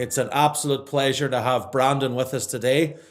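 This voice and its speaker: With an Irish accent, a man talks at a medium pitch and moderate pace in a very clean recording with a silent background. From Ireland. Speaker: podcast host. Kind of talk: podcast interview. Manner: upbeat, energetic.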